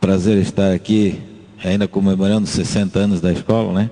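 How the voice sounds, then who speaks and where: At a moderate pace, a man speaks in a flat monotone at a fairly low pitch. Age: 60s. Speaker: math teacher. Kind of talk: radio interview.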